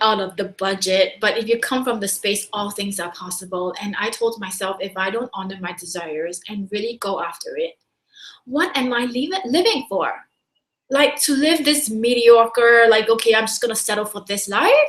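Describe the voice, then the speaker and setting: A woman's fairly high, animated voice in a Singaporean accent, moderate in pace with ordinary pitch variation. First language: not English. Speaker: business coach. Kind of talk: webinar talk.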